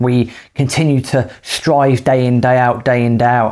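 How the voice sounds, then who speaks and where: This man has a normal speaking voice, medium in pitch, with fairly even intonation. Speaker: podcast host, property investor. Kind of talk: casual co-hosted advice chat.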